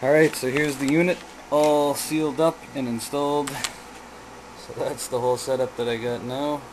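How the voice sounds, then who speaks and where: With noticeable background noise behind him, a man speaks at a fairly high pitch and moderate pace, using fairly even intonation and long, frequent pauses. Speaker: DIY experimenter. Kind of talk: tutorial.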